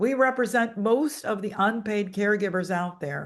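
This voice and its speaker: In a plain, everyday voice, a woman talks at a fairly slow pace with ordinary pitch variation. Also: quiet background. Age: 60s. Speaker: financial author and speaker. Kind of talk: webinar presentation.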